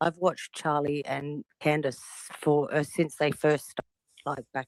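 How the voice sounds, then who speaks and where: In an Australian accent, a woman speaks at a moderate pace with a very deep, low pitch, the sound dry and close with no echo. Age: 40s. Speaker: caller in a live audio room. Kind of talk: casual chat.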